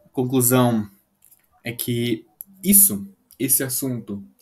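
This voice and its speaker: Somewhat breathy, a man talks at a medium pitch. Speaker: English tutor. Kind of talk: video lesson.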